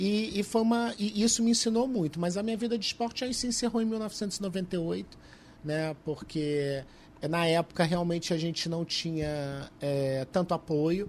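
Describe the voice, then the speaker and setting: With lively intonation and a high pitch, a man talks at a fairly slow pace. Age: 40s. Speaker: former trampoline gymnast, columnist and carnival judge. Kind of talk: casual interview chat.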